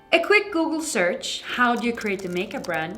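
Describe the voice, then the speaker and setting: Audible room echo and noticeable background noise surround a woman whose pitch swings very widely. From Sweden. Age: 20s. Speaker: makeup artist and influencer. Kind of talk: scripted narration.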